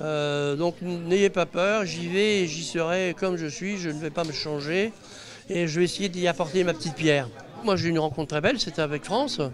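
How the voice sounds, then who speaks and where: Noticeable background noise surrounds this recording. A man with a high pitch speaks at a moderate pace. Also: ordinary pitch variation. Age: 60s. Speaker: inventor, reality TV participant. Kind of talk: interview. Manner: hesitant, many fillers.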